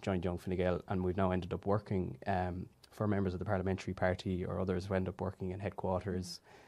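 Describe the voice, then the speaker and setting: A man with a western Irish accent talks at a very fast pace with hardly any pauses, his voice very deep and low with a dark, mellow tone. The recording is very clean, with a silent background. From Ireland, Galway. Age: 20s. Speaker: youth wing president. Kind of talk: interview conversation.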